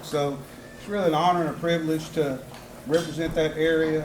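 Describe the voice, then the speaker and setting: A man with a South Mississippi accent at a fairly high pitch and fairly quick pace, monotone and flat, with audible room echo and noticeable background noise. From US South, South Mississippi. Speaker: city council member and former school principal. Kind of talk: campaign speech. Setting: political rally with audience.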